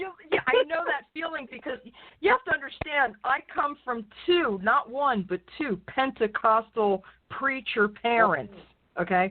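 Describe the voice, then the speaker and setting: A woman speaks at a fairly slow pace in a high pitch. Her pitch swings very widely. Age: 50s. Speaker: radio host. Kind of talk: casual chat. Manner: animated.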